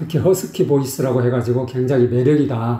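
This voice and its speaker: A man's dark, mellow, somewhat breathy voice at a medium pitch, with ordinary pitch variation. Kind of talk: explanatory, lecturing.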